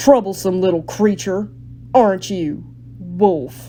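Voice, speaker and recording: A woman growls through a put-on character voice at medium pitch, with very wide pitch swings. She goes at a fairly slow pace over light background noise. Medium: read story. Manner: cool, self-assured, mocking.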